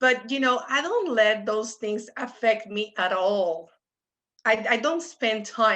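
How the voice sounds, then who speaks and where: This woman speaks with a Puerto Rican accent at a fairly high pitch. Her tone is bright and sharp. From Puerto Rico, San Juan. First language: Spanish. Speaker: economics professor. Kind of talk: panel discussion.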